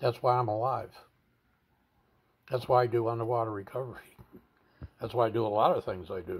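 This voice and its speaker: A man's medium-pitched, somewhat breathy voice, fairly quick yet broken by long, frequent pauses, with fairly even intonation. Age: 70s. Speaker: veteran suicide-prevention advocate and video blogger. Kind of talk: personal testimony monologue.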